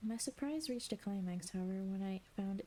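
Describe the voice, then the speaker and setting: A woman's somewhat breathy voice carries a dark, mellow tone and a calm tone. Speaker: streamer / ASMR reader. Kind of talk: ASMR audiobook reading of a classic novel. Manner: soft, calm reading voice.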